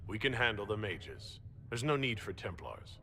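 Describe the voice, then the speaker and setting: A man's put-on character voice, medium in pitch, at a fairly quick pace over clear background noise. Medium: video game. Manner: direct, plain.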